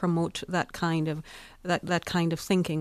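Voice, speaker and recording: A woman with a fairly low pitch talks at a very fast pace on a very clean recording with a silent background. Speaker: podcast co-host. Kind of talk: news podcast discussion. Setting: studio.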